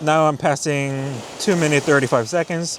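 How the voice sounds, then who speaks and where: A man with a Korean accent at a fairly high pitch and a moderate pace, over noticeable background noise. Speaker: landscape photographer. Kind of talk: casual vlog narration. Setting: outdoors on a beach.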